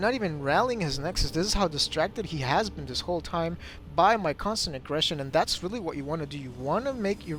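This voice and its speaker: A man's high-pitched voice, very fast, with lively intonation. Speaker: game commentator. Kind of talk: gameplay commentary. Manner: animated.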